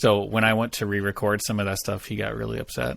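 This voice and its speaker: In a very clean recording with a silent background, a man talks at a fairly quick pace with vocal fry. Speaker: former game mod team member. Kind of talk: casual interview chat. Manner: casual, hesitant with fillers.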